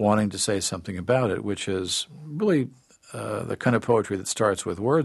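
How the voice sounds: The intonation here is lively. Someone reads in a natural voice.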